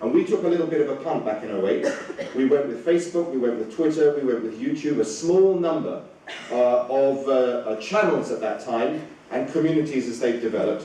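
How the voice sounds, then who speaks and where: A man with a British accent, fairly high-pitched and fairly quick, with lively intonation, audible room echo and noticeable background noise. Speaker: communications director. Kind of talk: conference talk. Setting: stage with audience. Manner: hesitant, many fillers.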